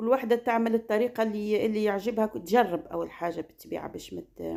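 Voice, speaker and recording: The speaker has a Tunisian accent, a dark, mellow tone with vocal fry, ordinary pitch variation and a moderate pace. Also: woman. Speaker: cooking and lifestyle vlogger. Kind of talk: casual vlog talk. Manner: halting.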